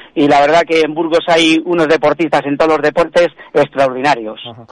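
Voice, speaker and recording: At a fairly quick pace, a normal speaking voice comes through with fairly even intonation and a dry, close sound with no echo. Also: man. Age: 50s. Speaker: weightlifter and coach. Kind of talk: radio interview.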